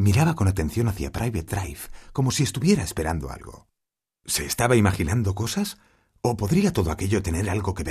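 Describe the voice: The background stays quiet during this plain reading aloud.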